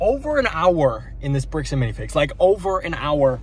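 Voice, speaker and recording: A man talks at a fairly quick pace. The sound is dry with no echo, and noticeable background noise can be heard. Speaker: LEGO vlogger. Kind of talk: casual vlog chat. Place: car. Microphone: phone near.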